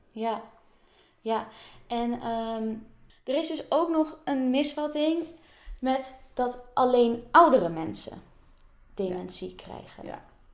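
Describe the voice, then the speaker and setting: A woman speaks at a very slow pace in a high voice, her lively intonation broken by long, frequent pauses, with audible room echo. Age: 20s. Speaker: podcast host. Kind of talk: interview.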